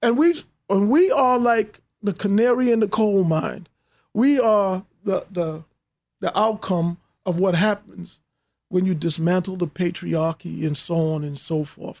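Speaking with a New York accent, a man talks at a fairly slow pace in a high pitch with ordinary pitch variation, in a very clean recording with a silent background. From New York, Hollis, Queens. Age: 50s. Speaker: businessman and filmmaker. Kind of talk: interview.

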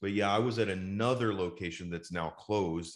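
This is a man speaking. He goes at a fairly quick pace. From Dallas, Texas. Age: 40s. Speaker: toy store owner and touring singer. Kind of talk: casual interview chat. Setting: video or remote call.

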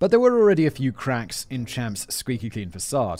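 The recording is very clean, and nothing sounds in the background. This man talks very fast, and his intonation is lively. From England. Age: 30s. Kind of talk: reading a script with casual asides. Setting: video podcast recording.

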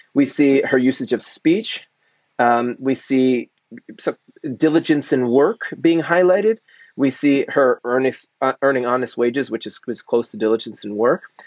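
Moderate pace, medium pitch and ordinary pitch variation, from a man using a normal speaking voice. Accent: American. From Philadelphia area, US Northeast. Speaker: Old Testament professor. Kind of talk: interview.

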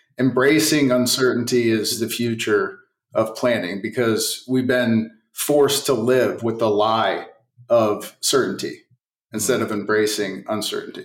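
A man with a normal speaking voice talks at a fairly slow pace and medium pitch. His intonation is fairly even. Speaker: technology company executive. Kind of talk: casual interview.

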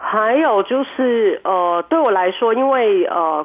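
A woman at a very slow pace with very wide pitch swings, amid noticeable background noise. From Hong Kong. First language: Cantonese (speaking Chinese). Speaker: restaurant owner and cook. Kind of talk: radio interview. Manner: hesitant, many fillers.

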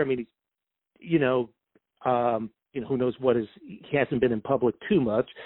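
At a fairly quick pace, a man talks with a New York accent. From New York City, Brooklyn. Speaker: sportswriter. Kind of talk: casual interview. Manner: halting, many fillers.

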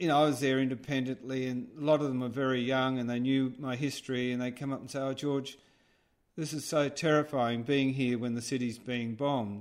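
Speaking at a fairly quick pace, a man with an Australian accent uses a medium pitch and a monotone, flat intonation. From Australia, Sydney (Rockdale). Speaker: artist and filmmaker. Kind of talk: interview. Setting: remote call.

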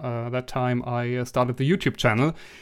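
Over a silent background in a very clean recording, a man speaks in a medium pitch with a German accent. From Germany. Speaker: social media creator and hobby tailor. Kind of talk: casual interview.

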